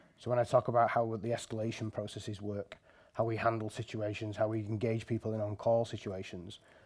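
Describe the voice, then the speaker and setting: In a strong northern English accent, the speaker talks at a very fast pace with a dark, mellow tone. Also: man. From northern England. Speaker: software engineer, conference speaker. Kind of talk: conference talk.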